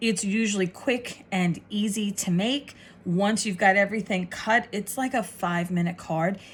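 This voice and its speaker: A woman's somewhat breathy voice sits at a medium pitch and shows ordinary pitch variation. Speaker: craft tutorial host. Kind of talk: tutorial. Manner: fast.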